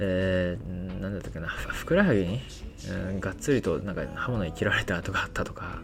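Audible room echo surrounds a man speaking at a fairly quick pace. His pitch is very deep and low, with ordinary variation. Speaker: podcaster. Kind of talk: casual monologue.

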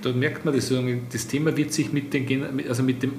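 Against audible room echo and noticeable background noise, a man with an Austrian accent speaks at a moderate pace in a medium-pitched voice. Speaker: business network executive. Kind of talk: interview.

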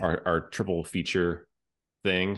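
Fairly even intonation over a quiet background. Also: man. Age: 20s. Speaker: podcast host, filmmaker. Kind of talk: casual chat.

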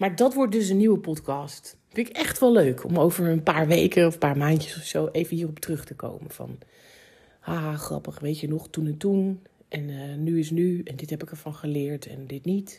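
Somewhat breathy and dark and mellow in tone, a woman speaks in a very deep, low pitch at a moderate pace, with ordinary pitch variation and big swings in loudness. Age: 40s. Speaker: podcast host. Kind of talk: solo podcast monologue. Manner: casual, laughing.

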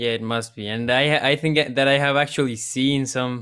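In a very clean recording with a silent background, a man speaks at a fairly slow pace and medium pitch, his tone clear, smooth and fairly bright, his intonation fairly even.

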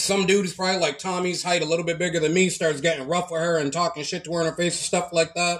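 A man's high-pitched voice with an American accent at a fairly quick pace, over noticeable background noise. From Massachusetts, Lynn. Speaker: podcast co-host. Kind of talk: casual chat.

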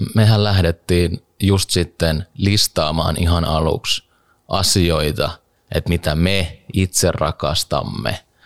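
A man with a very deep, low voice speaks at a very slow pace and very even loudness. The sound is dry and close, with no echo. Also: ordinary pitch variation. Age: 30s. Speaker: podcast co-host. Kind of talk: casual chat.

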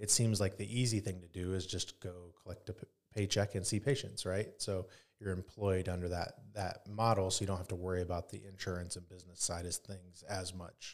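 Speaking with a Midwestern American accent, a man uses a very deep, low pitch and monotone, flat intonation. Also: fairly quick pace, very clean recording, silent background. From Northeast Indiana. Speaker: emergency physician and state senate candidate. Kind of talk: interview conversation.

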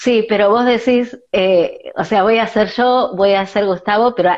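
Here a woman talks with a Rioplatense accent. Her voice is at a medium pitch. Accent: Argentine Rioplatense Spanish. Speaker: podcast host. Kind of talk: interview.

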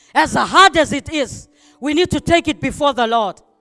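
Spoken at a fairly slow pace with a Zimbabwean accent, the voice comes through on a very clean recording with a silent background. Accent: Zimbabwean (Shona) English. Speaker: preacher. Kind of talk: sermon.

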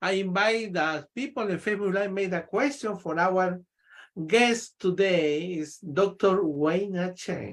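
Here a man with a Spanish accent talks at a very slow pace, using a high pitch and ordinary pitch variation. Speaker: podcast host. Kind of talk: interview.

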